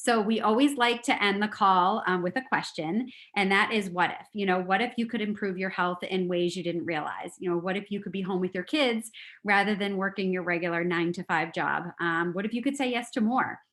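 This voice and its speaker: At a fairly quick pace, a woman speaks with a plain, everyday voice at medium pitch. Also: ordinary pitch variation. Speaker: call host, network marketing. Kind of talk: closing remarks on a group call. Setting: group conference call.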